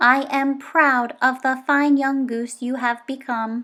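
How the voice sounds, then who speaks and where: A woman performs a put-on character voice, high in pitch, at a fairly slow pace with monotone, flat intonation. The recording is very clean, with a silent background. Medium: read story. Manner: plain, formal, no contractions.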